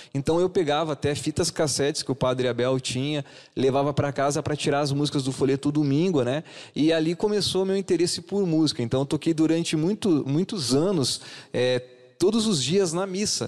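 A plain, everyday voice with ordinary pitch variation talks at a moderate pace against a quiet background. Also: man, fairly high pitch for a man. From southern Brazil, Paraná–Santa Catarina border. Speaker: DJ and event business owner; DJ. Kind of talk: radio interview. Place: studio.

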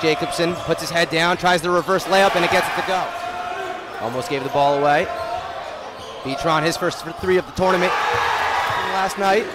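Loud background noise surrounds speech at a moderate pace, in a dry sound with no echo. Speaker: play-by-play announcer. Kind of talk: live basketball play-by-play commentary. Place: hall.

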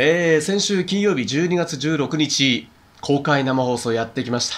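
Fairly high in pitch, a man speaks at a fairly quick pace with ordinary pitch variation. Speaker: radio DJ and wedding MC. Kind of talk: radio host talk, post-show recap. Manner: casual, chatty. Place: home room. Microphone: lapel.

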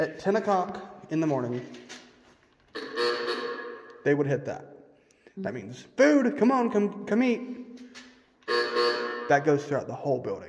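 A man speaks at a high pitch and a fairly slow pace, with very wide pitch swings and long, frequent pauses. Music plays in the background amid audible room echo. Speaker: tour guide of the building. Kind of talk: guided tour explanation. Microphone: phone near.

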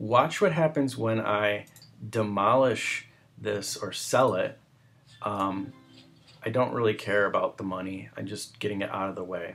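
Music plays in the background. A man with a fairly low voice talks at a fairly slow pace. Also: ordinary pitch variation. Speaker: gamer. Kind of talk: casual game tutorial voice-over. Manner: hesitant, many filler words.

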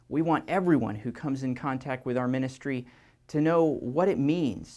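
The background is quiet as a man speaks. His pace is moderate, and his pitch varies in an ordinary way. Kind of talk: church announcement to parents. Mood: warm, upbeat, friendly. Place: church. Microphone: lapel.

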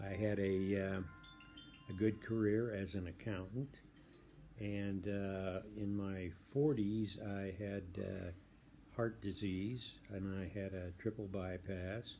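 A man's fairly low, dark, mellow voice at a very slow pace, with fairly even intonation, long, frequent pauses and light background noise. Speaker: war veteran. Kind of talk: testimony; personal testimonial. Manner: halting. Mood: calm, reflective. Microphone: phone near.

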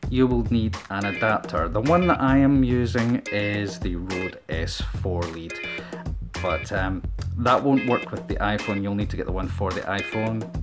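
A man with a Scottish accent talks over clear music in the background. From Scotland. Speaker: vlogger. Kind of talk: casual talk to camera. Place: home room. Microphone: handheld.

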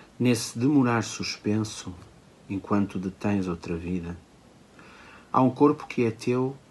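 A man at a moderate pace with ordinary pitch variation, light background noise behind him. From Portugal. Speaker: poet. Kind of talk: poetry reading. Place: home room. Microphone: phone near.

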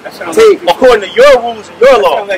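Noticeable background noise sits behind a man with an American accent. His pitch is extremely high and his intonation lively. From US Midwest. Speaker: veteran and business applicant. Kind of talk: rally speech. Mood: aggrieved, determined. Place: street. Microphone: podium.

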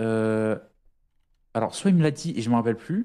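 Against a quiet background, a man speaks fairly quickly at a medium pitch with ordinary pitch variation and a dark, mellow tone. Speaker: fellow gamer. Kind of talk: casual gaming roleplay chat. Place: home room. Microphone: studio mic.

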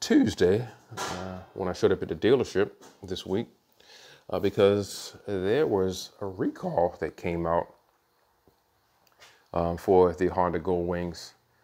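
The speech is fairly slow, with long, frequent pauses and fairly even intonation. Music plays in the background. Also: man, very deep, low pitch for a man. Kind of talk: casual vlog chat. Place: garage. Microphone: phone near.

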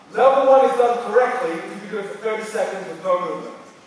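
A man talking at a fast pace amid strong room echo

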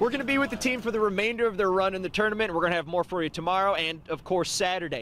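The man's pitch is high. He talks at a very fast pace with hardly any pauses. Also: ordinary pitch variation. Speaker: sportscaster. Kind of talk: TV sports news reporting.

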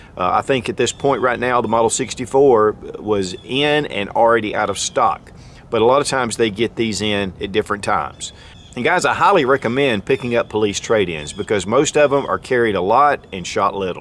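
A man is heard in a dry sound with no echo and light background noise. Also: ordinary pitch variation, fairly quick pace. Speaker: firearms reviewer. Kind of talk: product review talk. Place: open country.

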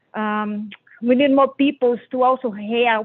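Her pitch fairly high, a woman speaks at a fairly slow pace. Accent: Portuguese. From Brazil. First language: Portuguese. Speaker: member of the public testifying. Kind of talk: public hearing testimony. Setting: phone dial-in to virtual hearing. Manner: halting.

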